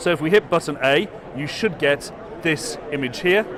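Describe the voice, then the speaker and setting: A man speaks with a British accent at a fairly high pitch. His intonation is lively, and there is noticeable background noise. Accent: British accent, noticeable to US audience. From UK. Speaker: education executive. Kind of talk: product demo. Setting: trade expo floor.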